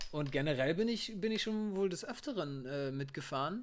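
Captured in a very clean recording with a silent background, a man speaks at a high pitch with lively intonation. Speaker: podcast co-host. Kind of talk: casual chat.

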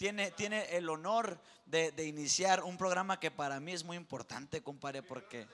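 There is noticeable background noise as a man speaks at a moderate pace. His voice is high and animated, with ordinary pitch variation. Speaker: co-host. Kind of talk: casual chat.

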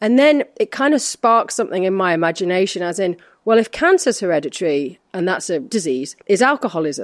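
Against a quiet background, a woman speaks at a moderate pace with lively intonation and a medium pitch. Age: 40s. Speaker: actress and wellness advocate. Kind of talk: casual interview. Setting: in person in an empty office. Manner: energetic.

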